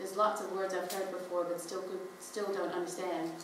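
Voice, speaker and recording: Through noticeable background noise, a woman talks very fast in a medium pitch. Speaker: spoken word performer reading own written piece. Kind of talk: spoken word poetry reading at a live performance event; live reading of a written piece, narrative prose. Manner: reflective, measured narrative reading.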